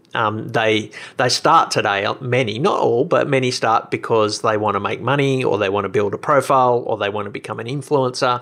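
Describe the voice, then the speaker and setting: At a fairly quick pace with hardly any pauses, a man with an Australian accent speaks at a medium pitch with ordinary pitch variation. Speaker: podcast host and blogger. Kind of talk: casual interview chat. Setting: remote call.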